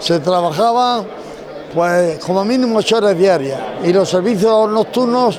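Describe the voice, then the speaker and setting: Against crowd noise and audible room echo, a man talks at a high pitch with ordinary pitch variation. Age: 90s. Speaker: retired civil guard traffic officer. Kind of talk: interview.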